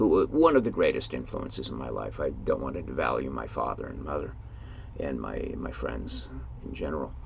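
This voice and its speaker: Moderate-paced speech from a man in an American accent, audible room echo around him. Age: 70s. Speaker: writer and YouTuber. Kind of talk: casual monologue. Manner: halting, with fillers.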